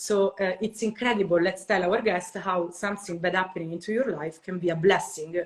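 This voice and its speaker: A woman with an Italian accent talks at a fairly quick pace and a medium pitch, with fairly even intonation and hardly any pauses, over noticeable background noise. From Italy. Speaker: podcast host. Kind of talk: interview.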